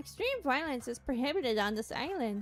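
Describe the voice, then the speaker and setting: Over clear music in the background, a female-sounding voice in a put-on character style speaks at a high pitch and a fairly quick pace. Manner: sweet, announcement-like.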